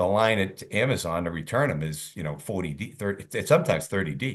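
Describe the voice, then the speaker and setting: Animated in tone, a man talks at a fairly quick pace with lively intonation and a very deep, low pitch. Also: quiet background. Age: 60s. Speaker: sales expert and author. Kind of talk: podcast interview.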